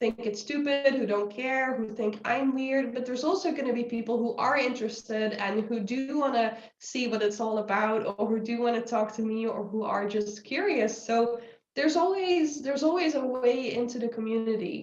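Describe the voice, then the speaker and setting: A woman talks at a moderate pace with a high pitch and ordinary pitch variation, and audible room echo surrounds her voice. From Netherlands. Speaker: anthropology researcher. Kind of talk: interview conversation.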